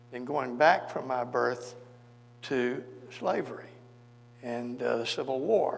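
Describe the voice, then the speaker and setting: A man with a Memphis accent speaks at a very slow pace in a medium pitch. There is audible room echo and noticeable background noise. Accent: Southern US (Memphis). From US South, Memphis, Tennessee. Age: 80s+. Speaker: civil rights lawyer. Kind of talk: onstage interview, storytelling.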